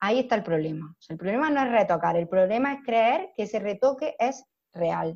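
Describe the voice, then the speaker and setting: With a plain, everyday voice, a woman speaks at a medium pitch and a fairly quick pace, her intonation lively against a quiet background. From Almería, Andalusia, Spain. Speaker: makeup artist. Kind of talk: casual interview chat.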